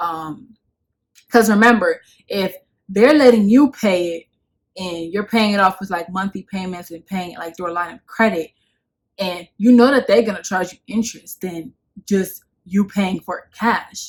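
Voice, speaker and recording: Pausing long and often, a woman speaks at a moderate pace with ordinary pitch variation and big swings in loudness. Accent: New York. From Bronx, New York; New York. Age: 20s. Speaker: lifestyle YouTuber. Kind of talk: casual talk to camera. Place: home room. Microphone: phone near.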